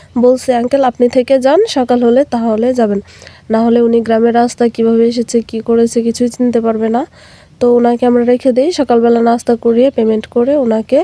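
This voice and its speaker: A woman speaks in a high voice with monotone, flat intonation and very even loudness. The sound is dry and close, with no echo. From Bangladesh, Gazipur. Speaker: vlogger. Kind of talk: vlog narration.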